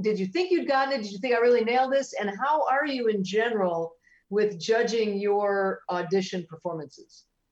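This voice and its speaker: Lively intonation at a moderate speed from a plain, everyday voice. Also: woman, fairly high pitch for a woman. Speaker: actress. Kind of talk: casual chat. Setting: video call.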